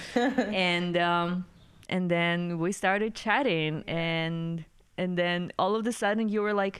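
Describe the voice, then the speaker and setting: Speaking at a very slow pace, a woman with a Russian accent uses a fairly low pitch and ordinary pitch variation. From Kazakhstan. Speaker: podcast co-host. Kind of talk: casual chat.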